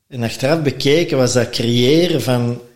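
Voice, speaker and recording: A man with an unremarkable speaking voice, medium pitch, ordinary pitch variation and a fairly slow pace. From Belgium, Antwerp. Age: 50s. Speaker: former restaurant owner, brewer. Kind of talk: casual chat.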